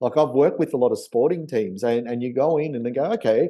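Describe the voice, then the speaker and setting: A man speaks with an Australian accent. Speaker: memory trainer and podcast host. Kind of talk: casual chat.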